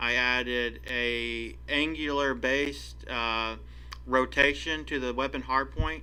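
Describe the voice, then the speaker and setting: A man speaking at a very slow pace, with audible room echo. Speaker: indie game developer. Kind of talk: devlog tutorial. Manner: halting, many fillers.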